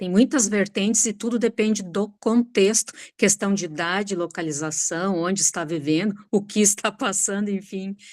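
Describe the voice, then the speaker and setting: A woman with an ordinary speaking voice talks at a medium pitch with ordinary pitch variation. Her pace is moderate, with hardly any pauses. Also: very clean recording, silent background. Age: 60s. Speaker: retired teacher, course participant. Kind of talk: casual chat.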